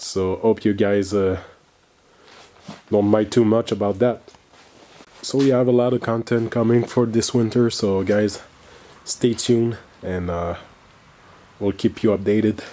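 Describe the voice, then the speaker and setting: A man's fairly low voice with a Quebec accent, fairly slow and fairly even in intonation, broken by long, frequent pauses. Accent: French Canadian accent in English. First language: French. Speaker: car enthusiast video host. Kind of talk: casual video intro.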